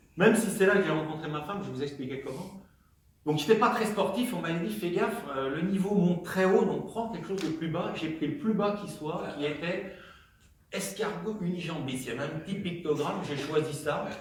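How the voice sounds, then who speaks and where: A man with a high voice talks at a fairly quick pace with ordinary pitch variation, and audible room echo surrounds him. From Normandy, France (Calvados, Caen). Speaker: comedian. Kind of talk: stand-up.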